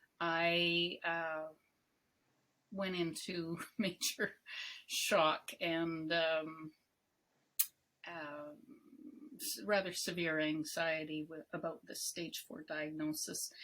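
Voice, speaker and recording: Speaking at a very slow pace, a woman with a fairly low pitch and a bright, sharp tone takes long, frequent pauses while her loudness swings widely. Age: 60s. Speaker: cancer patient and advocate. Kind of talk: interview.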